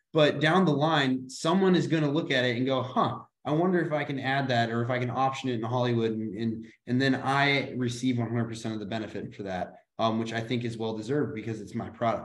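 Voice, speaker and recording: At a fairly quick pace, a man with an unremarkable speaking voice and an American accent talks at a medium pitch with ordinary pitch variation. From US Midwest. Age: young. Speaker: author and real estate agent. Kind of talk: casual chat.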